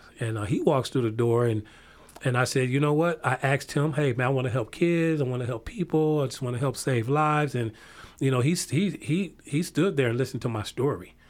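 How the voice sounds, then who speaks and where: A man with an American accent and an ordinary speaking voice talks at a medium pitch and a fairly quick pace, with ordinary pitch variation. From northern Illinois, near Chicago. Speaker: community violence prevention coordinator. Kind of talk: interview.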